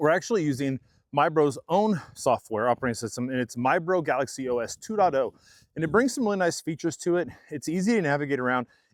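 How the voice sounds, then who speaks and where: Recorded very cleanly with a silent background and a dry, close sound with no echo, a man with a Kansas accent talks very fast in a fairly high pitch with lively intonation. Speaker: tech reviewer. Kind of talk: product review. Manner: casual, conversational.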